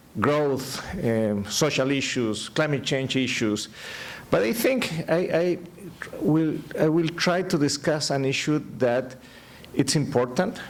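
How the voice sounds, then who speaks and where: Fairly high-pitched man with a Spanish accent, very even loudness, lively intonation, a very slow pace, long, frequent pauses and audible room echo. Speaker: economist, keynote speaker. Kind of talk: keynote lecture. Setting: conference stage with audience. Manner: halting, repeats words.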